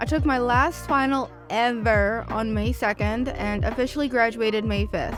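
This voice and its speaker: With music in the background, a woman with an American accent talks at a moderate pace with hardly any pauses. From Southern US. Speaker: art YouTuber. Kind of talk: voiceover narration.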